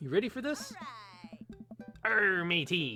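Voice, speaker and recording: Faint music plays behind a man doing a put-on character voice, high-pitched and delivered at a fairly slow pace. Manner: playful.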